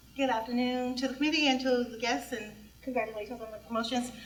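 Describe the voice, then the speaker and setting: Room echo is audible in this recording. A woman speaks at a high pitch. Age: 60s. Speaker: public commenter at transit board meeting. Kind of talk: public comment at a meeting.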